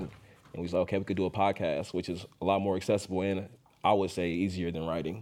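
In an American accent, a man speaks with a fairly low pitch, a dark, mellow tone, and monotone, flat intonation. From Oakland, California. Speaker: podcast host, journalist. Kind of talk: panel interview.

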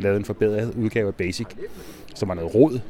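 Against noticeable background noise, a man talks at a fairly low pitch with ordinary pitch variation. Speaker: IT director, computing history society chair. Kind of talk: interview. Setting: exhibition at an anniversary event. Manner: hesitant, many fillers.

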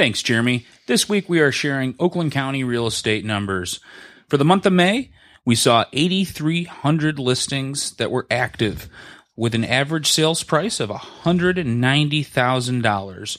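A normal speaking voice with an American accent moves at a moderate pace. Its intonation is lively. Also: man, fairly high pitch for a man. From Metro Detroit, Michigan. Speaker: real estate agent and co-host, former broadcaster. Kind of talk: casual podcast chat.

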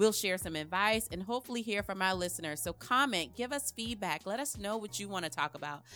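A woman speaks very fast with a South Carolina accent, her medium-pitched voice bright and sharp with lively intonation. She hardly pauses at all, and the very clean recording has a silent background. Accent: Southern US (South Carolina). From US South, South Carolina (rural). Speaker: podcast co-host, health administrator. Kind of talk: casual chat.

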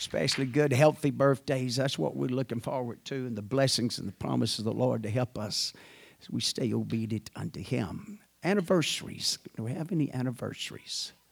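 This man talks at a fairly quick pace in a medium pitch, with vocal fry and lively intonation. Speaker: church pastor. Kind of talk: church announcements and prayer. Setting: church.

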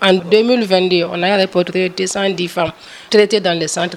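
With noticeable background noise behind her, a woman speaks at a fairly low pitch in a monotone, flat way. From Ivory Coast. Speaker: urologist surgeon. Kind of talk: interview.

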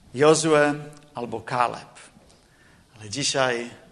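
Ordinary pitch variation against audible room echo. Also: man. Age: 40s. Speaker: preacher. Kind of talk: sermon. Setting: church.

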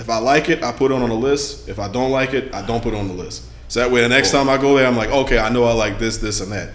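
Over noticeable background noise and audible room echo, a man talks at a very fast pace. His medium pitch stays fairly even. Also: hardly any pauses. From Louisiana. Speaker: podcast host. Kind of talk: casual chat.

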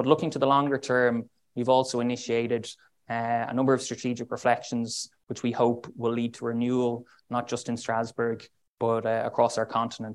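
An Irish-accented man at a moderate pace, medium in pitch with monotone, flat intonation. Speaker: diplomat. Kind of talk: speech.

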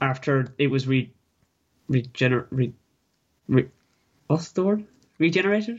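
A somewhat breathy voice in a Kerry accent moves at a moderate pace with lively intonation and very even loudness. Long pauses come often. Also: man, medium pitch for a man. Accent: Kerry Irish. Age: young. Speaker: sports podcast co-host. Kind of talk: casual sports chat. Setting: remote over Skype. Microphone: Skype line, lower quality.

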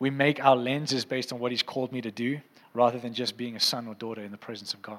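Speaking fast, a man keeps a fairly bright tone with little pitch movement. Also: medium pitch for a man.

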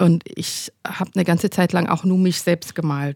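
A woman's voice with a fairly low pitch and a dark, mellow tone, fairly even intonation, a moderate pace, and a dry, close sound with no echo. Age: 40s. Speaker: painter and doctoral student. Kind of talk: interview conversation.

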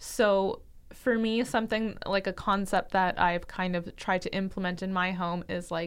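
A woman with a medium pitch and an unremarkable speaking voice talks at a fairly slow pace with fairly even intonation on a very clean recording with a silent background. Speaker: dietitian and podcast co-host. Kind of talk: casual chat.

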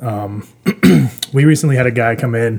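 Somewhat breathy, a man speaks with an American accent and ordinary pitch variation. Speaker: brewery worker. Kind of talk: casual chat. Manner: calm.

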